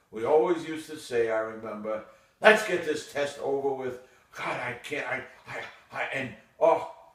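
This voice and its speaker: Amid noticeable background noise and audible room echo, a man with a fairly high pitch and lively intonation speaks at a moderate pace, with long, frequent pauses and big swings in loudness. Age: 80s+. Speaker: retired urologist. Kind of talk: casual monologue. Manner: reflective.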